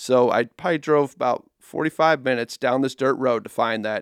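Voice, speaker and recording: Recorded very cleanly against a silent background, with a dry, close sound and no echo, a man speaks with a Midwestern American accent and ordinary pitch variation. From Nebraska. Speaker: nature photographer. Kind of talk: casual interview. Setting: studio.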